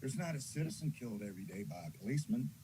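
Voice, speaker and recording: A man at medium pitch speaks in a dark, mellow, somewhat breathy tone, his pitch swinging very widely. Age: 70s. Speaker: caller. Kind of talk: public comment. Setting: Zoom call.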